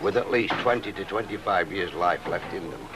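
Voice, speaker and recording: Noticeable background noise sits behind this man. He speaks at a moderate pace in a Yorkshire accent. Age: 60s. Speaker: local villager. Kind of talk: documentary interview. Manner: hesitant.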